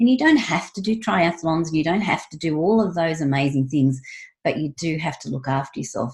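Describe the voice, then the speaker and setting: A woman with a fairly low pitch and a somewhat breathy voice speaks at a moderate pace with very wide pitch swings. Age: 60s. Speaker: wellness coach and former nurse. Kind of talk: casual interview.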